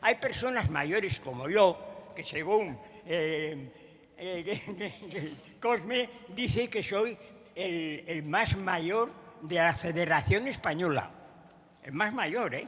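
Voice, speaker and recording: Very slow speech with long, frequent pauses comes through over noticeable background noise. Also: man, high pitch for a man, lively intonation. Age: 90s. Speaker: president of an emigrant community centre. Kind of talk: congress panel remarks. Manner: halting.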